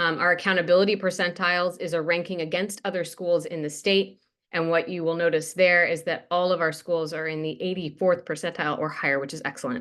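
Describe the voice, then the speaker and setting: Against a quiet background, a woman talks very fast with hardly any pauses, her pitch fairly low and her intonation fairly even. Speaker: school superintendent. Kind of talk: presentation.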